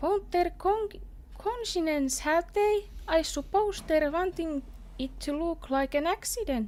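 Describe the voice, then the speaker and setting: A woman with a Finnish accent speaks at a very slow pace. Her pitch swings very widely. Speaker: video game streamer. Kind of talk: casual chat while gaming, reading game dialogue aloud. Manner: cheerful.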